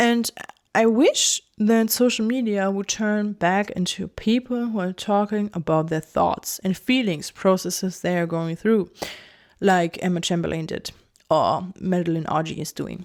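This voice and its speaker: A woman with a German accent speaks at medium pitch and a fairly slow pace. Her pitch varies in an ordinary way on a very clean recording with a silent background. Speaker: video essayist. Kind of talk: casual monologue. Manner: halting.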